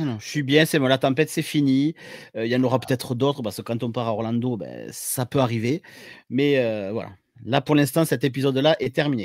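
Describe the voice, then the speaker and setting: A man with a southern French accent, medium pitch and ordinary pitch variation, at a fairly quick pace, in a dry, close sound with no echo on a very clean recording with a silent background. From southern France. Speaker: paramedic and YouTuber. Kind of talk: podcast interview. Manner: hesitant, many fillers.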